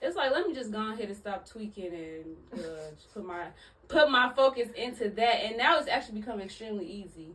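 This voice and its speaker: Over noticeable background noise, a woman with a fairly high voice talks at a fairly quick pace, with lively intonation and big swings in loudness. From Chicago, US Midwest. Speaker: hairstylist and entrepreneur. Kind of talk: casual interview conversation.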